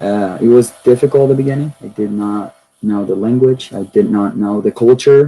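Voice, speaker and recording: A man speaks in a Spanish accent at a medium pitch and a fairly slow pace. His tone is dark and mellow, and his intonation stays fairly even. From Venezuela (Caracas). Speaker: university student. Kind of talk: personal testimony talk.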